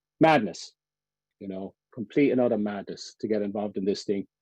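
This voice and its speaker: Speaking with a Cork accent, a man uses a fairly low pitch and ordinary pitch variation. His pace is moderate, and the sound is dry and close with no echo. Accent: Irish, Cork. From Ireland. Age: 50s. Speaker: endurance swimmer. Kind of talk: talk. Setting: webinar.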